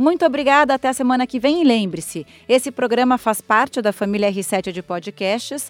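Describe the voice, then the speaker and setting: Speaking at a moderate pace with hardly any pauses, a woman uses a high pitch in a dry, close sound with no echo. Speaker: podcast host. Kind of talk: interview; scripted intro and outro.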